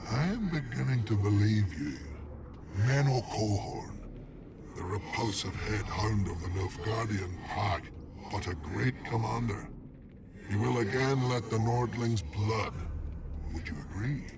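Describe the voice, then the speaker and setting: A man speaks in a put-on character voice with a fairly low pitch, at a fairly slow pace. His delivery has long, frequent pauses over clear background noise. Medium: video game. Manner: measured, formal.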